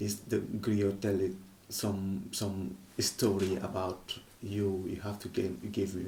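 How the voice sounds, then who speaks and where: A man speaks at a very slow pace with vocal fry. Audible room echo surrounds his voice. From Senegal, Casamance. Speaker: kora player and griot musician. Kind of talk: interview. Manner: hesitant, non-native phrasing.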